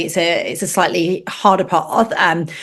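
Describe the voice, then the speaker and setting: A woman is speaking. She has a British accent. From northern England. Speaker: space journalist and TV presenter. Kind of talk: podcast interview.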